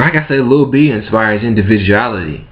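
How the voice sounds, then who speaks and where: Noticeable background noise and audible room echo surround a man of medium pitch who talks at a fairly slow pace with ordinary pitch variation. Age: 20s. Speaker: vlogger. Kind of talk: casual rant to camera. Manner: animated.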